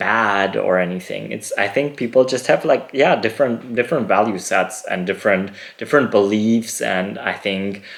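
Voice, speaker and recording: A man's fairly low pitch at a moderate pace, with ordinary pitch variation. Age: 30s. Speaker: podcast host, dancer. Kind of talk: podcast monologue. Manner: casual, hesitant with fillers.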